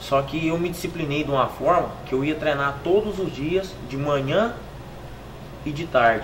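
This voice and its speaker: Fairly slow speech from a man with fairly high pitch and ordinary pitch variation, plus noticeable background noise and audible room echo. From Pedregulho, São Paulo near Minas Gerais border. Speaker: professional footballer. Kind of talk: interview testimony.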